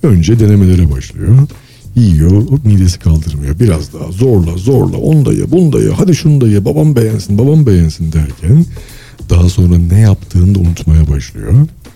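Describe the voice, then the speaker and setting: Very deep, low pitch from a man with very wide pitch swings, moderate pace, over noticeable background noise. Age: 40s. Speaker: engineer and author. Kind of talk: casual interview. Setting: live broadcast.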